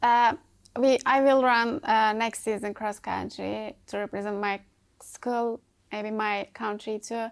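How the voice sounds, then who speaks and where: Speaking with a Turkish accent, a woman talks at a fairly slow pace in a fairly high pitch with fairly even intonation, on a very clean recording with a silent background. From Turkey. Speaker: college track athlete. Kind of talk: interview. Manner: halting.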